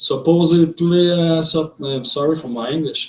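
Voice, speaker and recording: In a Quebec accent, a man speaks at a fairly slow pace and a fairly high pitch with fairly even intonation. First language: French. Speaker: vlogger. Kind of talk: monologue. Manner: halting.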